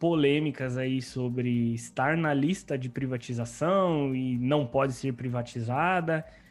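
A normal speaking voice at a fairly slow pace with ordinary pitch variation, against a quiet background. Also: man. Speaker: podcast host. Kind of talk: podcast interview.

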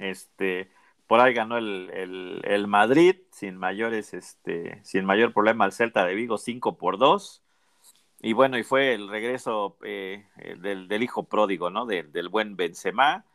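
With a Mexican accent, a man speaks at a very slow pace. His pitch is fairly low, with ordinary pitch variation. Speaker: football podcast host. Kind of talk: casual chat.

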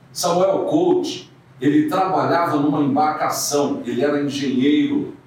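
A man talks at a fairly slow pace while audible room echo and noticeable background noise fill the recording. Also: very even loudness. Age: 70s. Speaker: radio host and newspaper owner. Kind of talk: interview.

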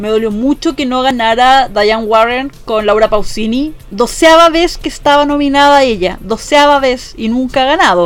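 A woman's high-pitched voice at a moderate pace, with ordinary pitch variation and music in the background. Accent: Chilean. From Chile, Valparaíso region. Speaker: podcast host, editor. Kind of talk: casual chat.

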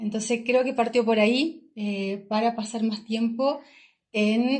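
Somewhat breathy, a woman talks very slowly at a fairly high pitch. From southern Chile (Chillán). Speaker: travel entrepreneur. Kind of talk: casual interview. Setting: in person, recording in Nepal.

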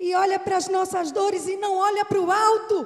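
Animated in tone, a woman speaks at an extremely high pitch with a Brazilian accent. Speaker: preacher. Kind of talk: sermon in church, warm and earnest, delivered to a congregation. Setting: church. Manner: fervent, emotional, pleading tone; animated, exclaiming, repeating phrases for emphasis.

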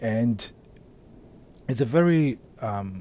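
A man's dark, mellow tone comes out somewhat breathy. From Africa. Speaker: podcast host and men's relationship coach. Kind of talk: solo monologue podcast. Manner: casual, with frequent fillers.

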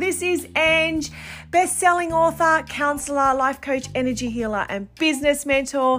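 A woman with an Australian accent over noticeable background noise. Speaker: podcast host and life coach. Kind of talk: casual monologue podcast; scripted podcast intro. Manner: quieter than usual.

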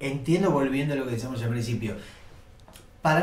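A man speaks with a fairly high pitch. Noticeable background noise and audible room echo surround him. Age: 40s. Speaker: cartoonist. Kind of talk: casual chat.

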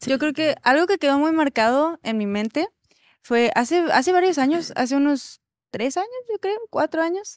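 Speaking at a moderate pace, a woman has a high pitch and a dry, close sound with no echo. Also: lively intonation. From Mexico City. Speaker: worship singer. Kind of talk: casual chat.

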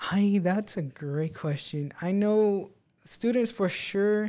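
This voice has a dark, mellow tone and an American accent. Its pitch varies an ordinary amount. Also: man. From Texas, Presidio (border town). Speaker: college residence life coordinator. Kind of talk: interview. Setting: studio. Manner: reserved.

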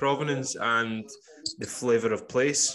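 A man speaks with a Scottish accent. His pitch is medium. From Scotland, Campbeltown, west coast. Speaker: podcast host. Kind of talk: casual interview chat.

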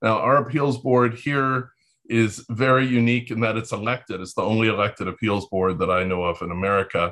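Here a man with an ordinary speaking voice talks at a fairly quick pace, medium in pitch, with ordinary pitch variation. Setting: video call.

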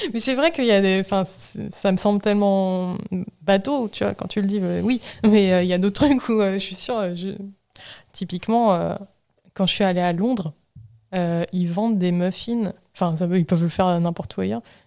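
Using a dark, mellow tone, a woman speaks at a medium pitch and moderate pace with ordinary pitch variation and long, frequent pauses. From Normandy, France. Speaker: podcast host. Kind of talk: casual chat.

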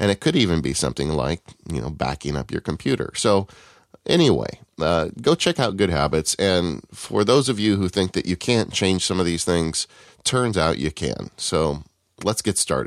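A man's very deep, low voice with vocal fry and lively intonation at a moderate pace, dry and close with no echo against a quiet background. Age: 40s. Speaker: tech podcast co-host. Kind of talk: casual chat.

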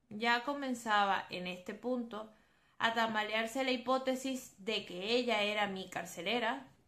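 Audible room echo carries a woman's fairly high, bright, sharp voice. She talks at a fairly slow pace with fairly even intonation. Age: 20s. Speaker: psychologist and podcast host. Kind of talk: solo podcast monologue on psychology.

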